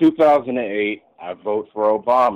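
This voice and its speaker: This man talks at a fairly slow pace. His pitch moves with ordinary variation. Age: 30s. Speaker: radio call-in listener. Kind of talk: political call-in discussion. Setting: phone call. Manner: halting, many filler words.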